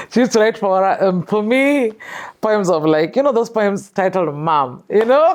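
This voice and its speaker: A woman with a Kenyan accent talks at a moderate pace in a medium pitch, with very wide pitch swings and very even loudness. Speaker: filmmaker and storyteller. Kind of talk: interview.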